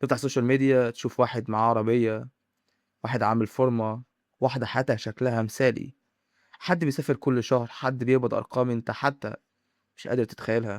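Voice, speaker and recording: In a very clean recording with a silent background and a dry, close sound with no echo, a man speaks at a fairly quick pace with medium pitch and monotone, flat intonation. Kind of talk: motivational monologue to camera. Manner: dramatic, with pauses.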